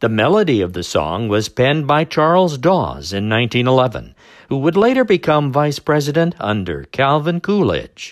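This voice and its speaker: An upbeat man at a moderate pace and fairly high pitch, very wide pitch swings and hardly any pauses, on a very clean recording with a silent background. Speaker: radio oldies dj. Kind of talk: scripted radio-style music history segment, podcast intro and outro. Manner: brisk, polished, upbeat announcer delivery; formal, informative, repeats the same patter.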